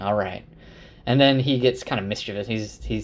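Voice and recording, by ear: Ordinary pitch variation runs through this reading aloud in a natural voice.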